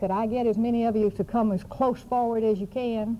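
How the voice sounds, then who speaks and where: With a Southern US accent, a woman speaks at a fairly quick pace and fairly high pitch, her dark, mellow tone carrying fairly even intonation. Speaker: adoption reform activist, panel moderator. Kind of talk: conference panel introduction. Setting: conference room with audience. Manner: hesitant, many fillers.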